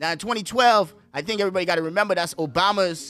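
Raising and projecting his voice, a man speaks at a high pitch with ordinary pitch variation. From Bahamas, born in the Bronx. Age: 20s. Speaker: podcast host. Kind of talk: casual chat. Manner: animated.

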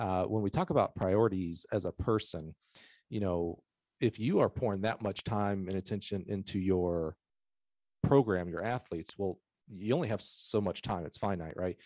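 A man with a plain, everyday voice, fairly low in pitch, at a moderate pace with ordinary pitch variation and a quiet background. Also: dry, close sound with no echo. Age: 40s. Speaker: track and field sales manager and podcast host. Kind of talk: casual chat.

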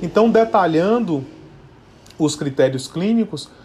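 Lively intonation marks this man's dark, mellow tone as he speaks at a moderate pace. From Bahia, Brazil. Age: 30s. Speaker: neurologist. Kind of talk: podcast interview, explanatory.

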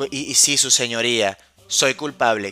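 The voice has a bright, sharp tone and ordinary pitch variation, recorded with a dry, close sound and no echo. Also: man. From Venezuela, Caracas. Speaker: wine podcast host. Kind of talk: casual solo podcast. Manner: animated, playful.

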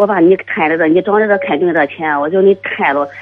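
The speech moves at a very fast pace. Its intonation is lively. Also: woman. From Shandong, Tai'an. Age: 40s. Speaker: caller. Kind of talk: phone-in call. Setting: phone call. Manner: halting.

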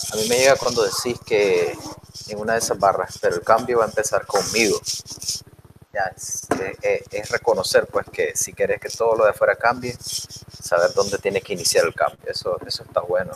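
Talking proceeds at a moderate pace while noticeable background noise runs underneath. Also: man. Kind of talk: casual chat.

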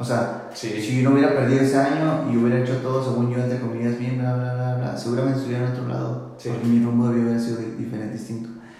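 Over noticeable background noise and audible room echo, a man talks at a very fast pace. His pitch is medium, with fairly even intonation. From northern Mexico, Tecate, Baja California. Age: 20s. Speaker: church worship leader. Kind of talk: casual chat.

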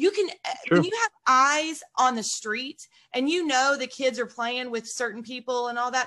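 A woman projects a raised, high-pitched voice. Her tone is bright and sharp, with lively intonation. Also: moderate pace. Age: 40s. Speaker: podcast host and real estate agent. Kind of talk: casual interview.

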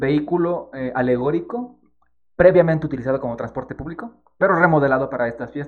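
Talking at a very fast pace, a man with a fairly high pitch varies his pitch in an ordinary way while his loudness swings a lot. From Ecuador, Quito. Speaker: podcast co-host. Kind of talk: casual chat.

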